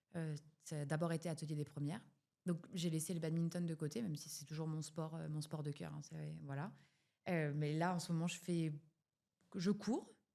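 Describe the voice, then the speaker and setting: Her voice a very deep, low pitch, a woman speaks at a moderate pace with fairly even intonation and long, frequent pauses. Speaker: founder of a sewing pattern brand. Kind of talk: podcast interview. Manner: hesitant, many fillers.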